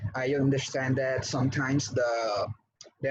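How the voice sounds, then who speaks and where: A man with a Spanish accent, medium pitch, moderate pace and monotone, flat intonation, with audible room echo. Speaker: English teacher. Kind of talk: online class. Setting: video call.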